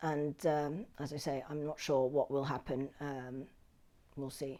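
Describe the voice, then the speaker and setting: A woman speaks in a London accent on a very clean recording with a silent background. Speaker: documentary filmmaker. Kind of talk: interview answer. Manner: hesitant, thoughtful.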